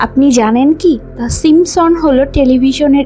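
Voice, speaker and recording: A woman with a high pitch and ordinary pitch variation speaks over music in the background. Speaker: voice-over artist. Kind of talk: fact narration.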